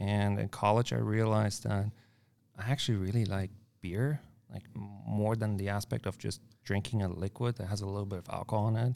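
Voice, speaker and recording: Speaking at a fairly quick pace with a German accent, a man has a fairly low pitch, a dark, mellow tone and fairly even intonation on a very clean recording with a silent background. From Germany. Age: 20s. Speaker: brewer. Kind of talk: casual chat. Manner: direct.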